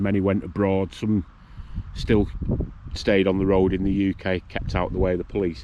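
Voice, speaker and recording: The speaker has a northern English accent. They talk at a fairly quick pace. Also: man. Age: 60s. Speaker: vlogger. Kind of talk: casual monologue. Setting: outdoors.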